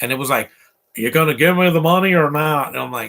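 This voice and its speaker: Vocal fry and a bright, sharp tone in an American accent, at a fairly quick pace, in a very clean recording with a silent background. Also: man. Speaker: movie commentator. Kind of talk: live movie commentary. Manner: casual, halting.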